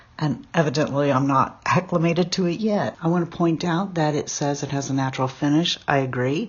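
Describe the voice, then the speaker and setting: Her voice is very deep and low for a woman, and somewhat breathy. She talks at a fairly quick pace with ordinary pitch variation. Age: 50s. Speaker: beauty vlogger. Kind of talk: tutorial. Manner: casual, chatty.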